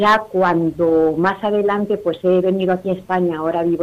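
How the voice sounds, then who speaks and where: Her intonation fairly even, a woman talks at a moderate pace in a medium pitch. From Peru, Lima. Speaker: Latin American immigrant, parish member. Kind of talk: phone interview. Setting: phone call. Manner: halting.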